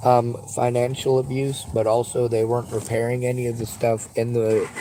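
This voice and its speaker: With noticeable background noise in the recording, the man's speech runs at a moderate pace. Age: 40s. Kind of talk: phone call with crisis line. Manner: halting.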